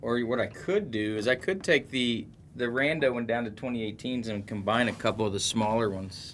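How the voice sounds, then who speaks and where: A man's medium-pitched voice carries ordinary pitch variation and moves at a fairly quick pace. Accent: American. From southwest Ohio, Middletown. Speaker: sports card breaker, live streamer. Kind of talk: live stream card break chat. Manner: casual, chatty.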